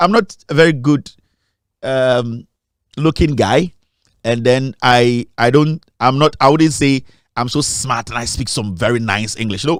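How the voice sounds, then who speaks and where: A man speaks with a Ghanaian accent. His pace is fairly slow. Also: medium pitch for a man, ordinary pitch variation. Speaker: media founder and documentary maker. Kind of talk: interview. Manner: halting, with repetitions.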